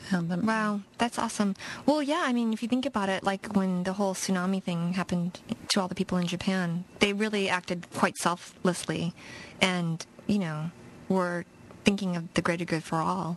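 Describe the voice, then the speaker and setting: A woman speaks in a medium pitch at a moderate pace with ordinary pitch variation. There is noticeable background noise. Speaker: radio co-host. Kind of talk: casual chat. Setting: radio studio, live broadcast.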